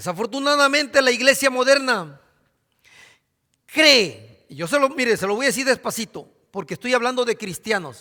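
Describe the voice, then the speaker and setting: Extremely high in pitch for a man, his raised, projected voice has a bright, sharp tone and lively intonation at a moderate pace, on a very clean recording with a silent background. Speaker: pastor. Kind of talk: sermon.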